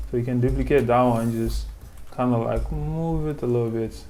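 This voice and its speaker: This voice comes with a French accent. The pace is fairly slow. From French-speaking country. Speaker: animation tutor. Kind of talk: tutorial. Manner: casual, hesitant with fillers.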